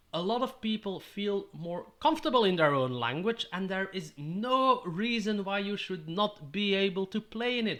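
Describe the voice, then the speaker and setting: A man's high, bright, sharp voice with a Dutch accent, lively intonation and a moderate pace. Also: quiet background. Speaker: tabletop gaming YouTuber. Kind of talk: tutorial.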